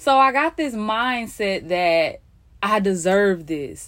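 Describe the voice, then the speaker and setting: A woman speaks at medium pitch. Her tone is animated. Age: 20s. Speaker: podcast host. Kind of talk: solo podcast monologue. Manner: conversational, animated.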